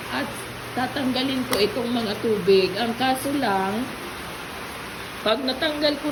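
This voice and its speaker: Over noticeable background noise and audible room echo, a woman speaks fairly slowly at a fairly high pitch. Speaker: vlogger. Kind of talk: casual vlog. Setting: at home.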